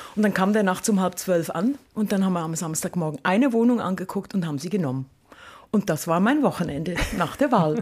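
Lively intonation marks this woman's medium-pitched voice, which carries a slight Swiss accent and moves at a fairly quick pace. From Switzerland, Lucerne. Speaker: university rector. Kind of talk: casual interview. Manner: fast.

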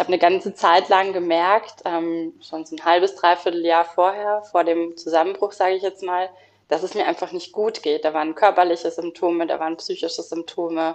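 A woman with a fairly low pitch, fairly quick pace and monotone, flat intonation. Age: 30s. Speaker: lawyer sharing burnout experience. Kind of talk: interview testimony.

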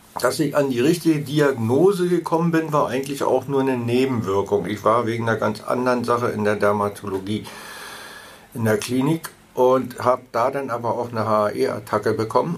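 Amid noticeable background noise, a man speaks at a fairly quick pace with a medium pitch and ordinary pitch variation. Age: 70s. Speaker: patient advocate. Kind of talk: interview.

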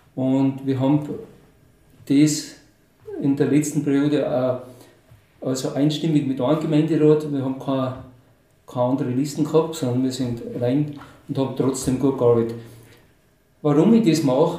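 A man speaks at a fairly high pitch and a moderate pace, with fairly even intonation. He takes long, frequent pauses amid audible room echo. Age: 60s. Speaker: mayoral candidate, retiree. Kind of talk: interview.

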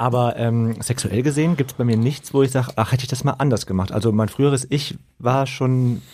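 This man talks very fast, his intonation fairly even. His pitch sits in the medium range. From western Germany (Lower Rhine area). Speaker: podcast co-host. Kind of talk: casual chat.

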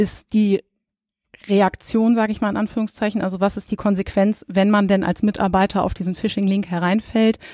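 A woman's dark, mellow voice at medium pitch and a moderate pace, dry and close with no echo, on a very clean recording with a silent background. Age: 30s. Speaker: insurance risk expert. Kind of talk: expert interview. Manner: frequent filler hesitations.

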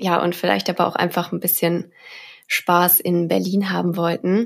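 A woman's voice at very even loudness, in a very clean recording with a silent background. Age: 20s. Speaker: data engineer. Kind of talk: casual interview. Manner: hesitant, many fillers.

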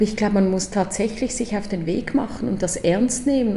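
Fairly even intonation with noticeable background noise. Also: woman. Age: 40s. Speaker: strategic designer, education co-founder. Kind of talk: casual interview. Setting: in person at office.

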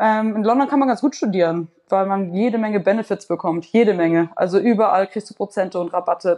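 A woman's dark, mellow voice at medium pitch, at a fairly quick pace. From Hamburg, Germany (Wellingsbüttel). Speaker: artist. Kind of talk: casual interview.

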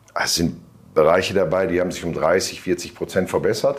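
A man is speaking at a moderate pace. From northern Germany (Bielefeld). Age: 50s. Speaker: self-employed weight-loss client. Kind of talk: interview testimony. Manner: hesitant, many fillers.

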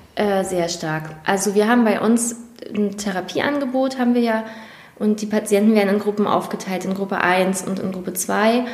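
The speaker keeps a moderate pace with fairly even intonation. Audible room echo and noticeable background noise are present. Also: woman, medium pitch for a woman. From northeastern Germany, Prignitz/Mecklenburg area. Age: 20s. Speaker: nurse. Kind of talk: interview. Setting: studio.

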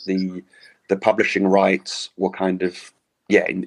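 Pitched very deep and low, a man's voice proceeds at a moderate pace. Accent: London. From London. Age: 40s. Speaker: author and cycling jersey collector. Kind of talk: interview.

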